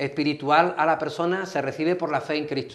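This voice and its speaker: A man with an Andalusian accent speaks at a moderate pace, his fairly high pitch held in a fairly even intonation. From Andalusia, Spain. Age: 60s. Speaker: pastor. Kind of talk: TV interview.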